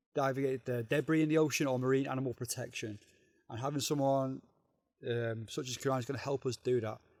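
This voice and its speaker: Very fast and monotone with flat intonation, a man talks at a medium pitch in a Liverpool accent. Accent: Liverpool (Scouse) English. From northern England, Liverpool. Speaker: diving organisation regional manager. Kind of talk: casual podcast interview.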